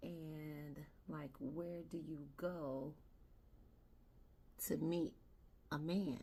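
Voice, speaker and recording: A woman's very deep, low voice, monotone and flat, at a very slow pace with long, frequent pauses and audible room echo. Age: 60s. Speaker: beauty vlogger. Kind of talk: casual makeup tutorial chat. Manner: conversational.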